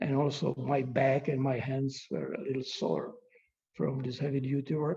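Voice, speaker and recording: The voice has a dark, mellow tone and vocal fry. It moves at a fairly slow pace. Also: man. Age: 70s. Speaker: glass artist. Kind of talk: lecture. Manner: halting.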